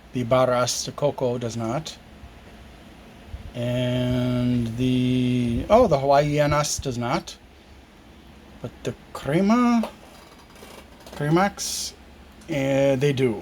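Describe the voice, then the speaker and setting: A man speaks very slowly at a medium pitch with ordinary pitch variation and long, frequent pauses, over noticeable background noise. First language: not Spanish. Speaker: product reviewer. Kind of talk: product review. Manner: halting.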